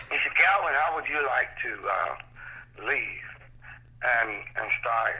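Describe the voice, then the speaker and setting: A man with an American accent at a very slow pace. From Cleveland, Ohio. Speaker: sacred steel guitarist. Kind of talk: interview. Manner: halting; animated.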